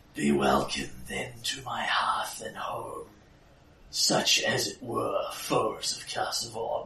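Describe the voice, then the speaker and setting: A man's put-on character voice at a very slow pace. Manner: sardonic.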